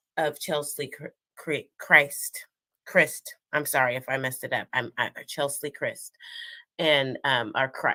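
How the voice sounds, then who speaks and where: A woman's put-on character voice, raspy and very deep and low in pitch, at a fairly slow pace, in a dry, close sound with no echo. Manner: stuttering, stumbling over a name.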